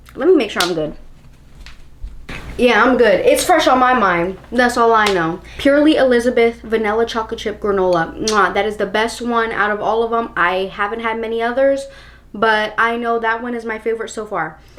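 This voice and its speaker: Noticeable background noise sits behind a woman with fairly high pitch, ordinary pitch variation and a moderate pace. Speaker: lifestyle vlogger. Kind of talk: casual vlog monologue. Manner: animated.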